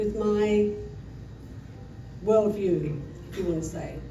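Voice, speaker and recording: A woman with a London accent, amid noticeable background noise and audible room echo. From England, London. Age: 70s. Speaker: storyteller. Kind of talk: live personal storytelling. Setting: stage with audience. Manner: halting, loses her place.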